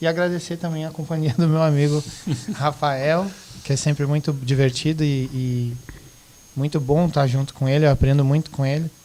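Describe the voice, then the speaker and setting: A man talks at a moderate pace in a fairly high pitch. His intonation is monotone and flat. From Rio Grande do Sul, southern Brazil. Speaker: teacher, guest. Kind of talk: casual podcast discussion.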